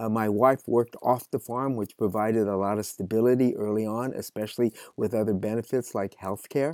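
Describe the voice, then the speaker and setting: Speaking with an American accent, a man has an ordinary speaking voice at a medium pitch, fairly even intonation and hardly any pauses. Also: fairly quick pace. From California Central Valley, near Fresno. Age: 60s. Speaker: farmer and author. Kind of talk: interview conversation.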